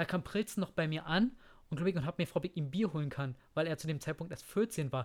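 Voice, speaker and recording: A normal speaking voice from a man, fairly high in pitch, with ordinary pitch variation, a fairly quick pace and a dry, close sound with no echo. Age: 30s. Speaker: podcast host. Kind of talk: casual chat. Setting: at the guest's home.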